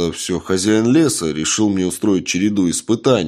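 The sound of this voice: This unforced reading voice carries ordinary pitch variation.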